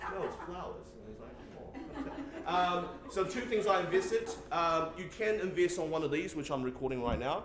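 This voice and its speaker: A man talks at a high pitch with lively intonation and big swings in loudness. Noticeable background noise and audible room echo are present. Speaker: teacher presenting workshop. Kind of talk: workshop presentation. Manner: halting, many fillers and repeats.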